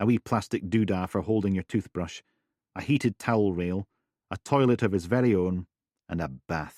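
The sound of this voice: This is an unforced reading voice with ordinary pitch variation. The background is quiet.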